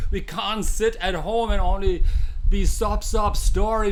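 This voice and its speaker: A man with a German accent speaks at a fairly slow pace, with audible room echo and noticeable background noise. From Germany. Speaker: mind coach and hypnotherapist. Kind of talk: live-streamed coaching session. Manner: animated; halting.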